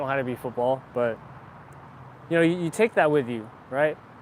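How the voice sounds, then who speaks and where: This man talks at a fairly quick pace with an American accent, a fairly high pitch and ordinary pitch variation. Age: 20s. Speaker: fitness vlogger. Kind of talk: live stream chat. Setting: live stream on camera. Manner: casual, filler-heavy.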